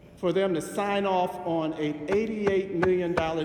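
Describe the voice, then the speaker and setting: Loud and high-pitched, a man speaks with an American accent. Audible room echo and noticeable background noise fill the recording. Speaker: city councilman. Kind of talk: council floor speech. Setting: city council chamber. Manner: loud, forceful.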